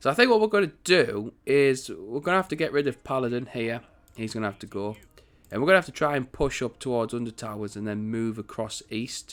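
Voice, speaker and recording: A man talks at a medium pitch. He has a British accent. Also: lively intonation, fairly quick pace. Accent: British accent, can put it on more. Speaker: gaming YouTuber. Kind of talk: gameplay commentary. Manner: casual, rambling.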